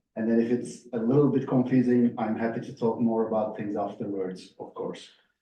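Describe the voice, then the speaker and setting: A man speaks with fairly even intonation in a space with audible room echo. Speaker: professor. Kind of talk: lecture. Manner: fast.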